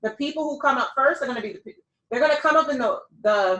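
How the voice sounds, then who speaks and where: A woman with an American accent uses a raised, projected voice at a very fast pace. Her tone is bright and sharp, with lively intonation. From Milwaukee, US Midwest. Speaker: business coach. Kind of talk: coaching session.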